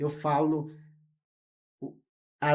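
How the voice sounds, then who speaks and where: This man speaks at a fairly high pitch. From Brazil, Rondônia (Amazon). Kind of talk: interview. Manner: halting, with fillers.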